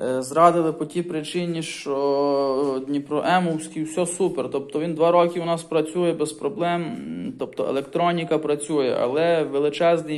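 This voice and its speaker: A man speaking at a fairly slow pace with fairly even intonation. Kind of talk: casual vlog chat. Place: home room.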